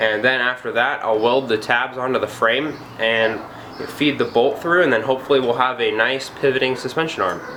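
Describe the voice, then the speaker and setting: Noticeable background noise and audible room echo around a medium-pitched male voice. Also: fairly even intonation, moderate pace, very even loudness. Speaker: DIY go-kart builder, student. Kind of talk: casual workshop tutorial. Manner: hesitant, with fillers.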